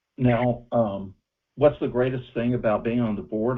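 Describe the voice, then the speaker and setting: The man has an unremarkable speaking voice and a moderate pace. His pitch variation is ordinary. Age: 60s. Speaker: UFO researcher. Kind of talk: interview.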